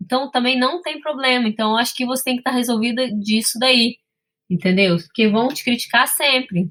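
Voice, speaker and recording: A woman speaks at a moderate pace in a high voice. Her tone is bright and sharp, with ordinary pitch variation. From Brazil, Espírito Santo. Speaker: sommelier and business owner. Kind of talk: interview.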